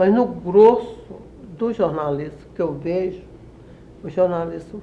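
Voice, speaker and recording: A woman talks fairly slowly amid noticeable background noise and audible room echo. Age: 80s+. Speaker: retired journalist and writer. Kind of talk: interview. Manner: halting, many self-corrections.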